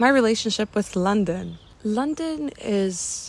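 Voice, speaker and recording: A woman speaks quietly, with ordinary pitch variation. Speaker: vlogger. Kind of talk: casual vlog monologue. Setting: outdoors in a cemetery. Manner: quiet, low voice.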